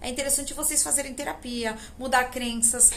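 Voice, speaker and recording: Amid noticeable background noise and audible room echo, a woman speaks at a high pitch. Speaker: spiritual teacher and tarot channel host. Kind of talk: spiritual talk to camera. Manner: casual, conversational.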